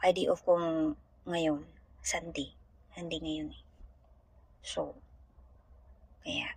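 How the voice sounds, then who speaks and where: A woman speaks at a very slow pace, leaving long, frequent pauses. Her loudness swings widely. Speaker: domestic helper vlogger. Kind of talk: casual vlog monologue. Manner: halting.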